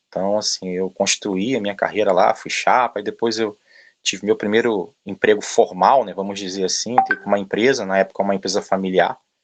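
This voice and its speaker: The intonation stays monotone and flat. The delivery is fairly quick. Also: man, fairly low pitch for a man. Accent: strong Rio de Janeiro. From Brazil, Rio de Janeiro. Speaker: logistics manager. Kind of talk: interview talk. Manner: filler-heavy, hesitant.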